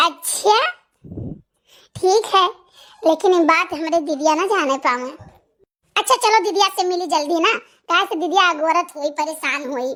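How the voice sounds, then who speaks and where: In a cartoonish character voice at an extremely high pitch, a woman speaks at a moderate pace with ordinary pitch variation and long, frequent pauses. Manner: playful, coy.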